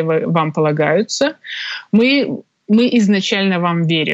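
Against a quiet background, a woman's pitch varies in an ordinary way. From Belarus, Minsk. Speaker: tax lawyer. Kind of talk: interview. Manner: hesitant, many fillers.

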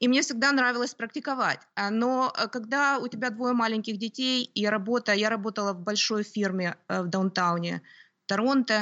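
With normal pitch movement, a woman talks at a moderate speed. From Ukraine, Kyiv. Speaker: homeschooling mother, lawyer. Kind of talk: interview. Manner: hesitant, with fillers.

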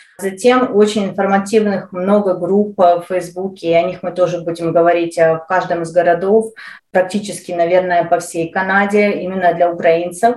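Her medium-pitched voice stays monotone and flat as the woman speaks at a moderate pace. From Ukraine. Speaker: podcast co-host for Ukrainian newcomers. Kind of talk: casual interview.

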